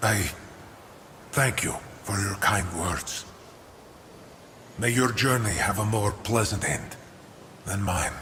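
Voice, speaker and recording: A man in a put-on character voice speaks slowly with a fairly low pitch, a solemn tone and long, frequent pauses. Clear echo and clear background noise surround his voice. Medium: video game. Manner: solemn, mournful.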